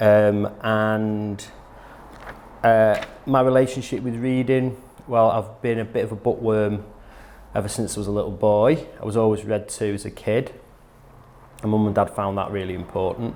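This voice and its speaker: A man with a Manchester accent talks at a moderate pace, taking long, frequent pauses. His fairly low voice keeps a fairly even intonation. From northern England, Middleton, North Manchester. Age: 40s. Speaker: nurse. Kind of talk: personal testimony.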